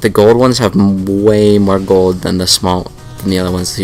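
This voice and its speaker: Music plays in the background. A man talks in a fairly low pitch. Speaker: gaming let's play host. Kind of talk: casual gameplay commentary.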